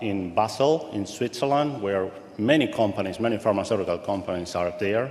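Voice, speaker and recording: Through audible room echo, a man with a Spanish accent speaks at a fairly low pitch. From Argentina. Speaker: pharmaceutical supply chain executive. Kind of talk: guest presentation. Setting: auditorium with live audience.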